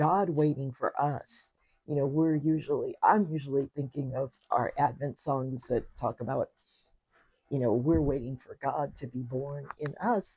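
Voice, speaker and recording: A woman with a very deep, low pitch speaks at a fairly slow pace. Her voice is somewhat breathy, with ordinary pitch variation. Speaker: podcast co-host. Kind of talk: casual chat.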